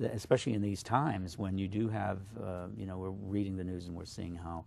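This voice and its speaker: A man speaks with a very deep, low pitch at a fairly quick pace. His intonation is fairly even, and there is audible room echo. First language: Slovak. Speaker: poet. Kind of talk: interview. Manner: halting, many fillers.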